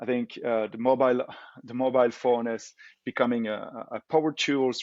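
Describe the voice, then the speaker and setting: With a Belgian French accent, a man talks at a moderate pace in a dry, close recording with no echo and a quiet background. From Belgium. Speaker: tech company co-founder. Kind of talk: interview. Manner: hesitant, many fillers.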